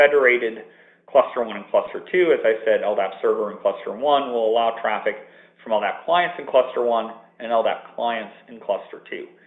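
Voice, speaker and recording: The speech runs at a fairly quick pace with big swings in loudness. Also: man. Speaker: software architect presenting a product. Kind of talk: webinar presentation. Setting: office, remote webinar line.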